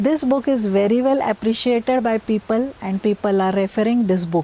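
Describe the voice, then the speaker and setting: Over noticeable background noise, a woman with a Marathi accent talks at a fairly high pitch. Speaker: scientist. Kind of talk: recorded self-introduction.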